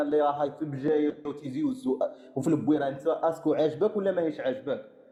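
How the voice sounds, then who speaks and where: Someone talks at a fairly quick pace with ordinary pitch variation. There is noticeable background noise. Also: man. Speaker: caller on live stream. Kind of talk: heated debate. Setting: live stream. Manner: interrupting.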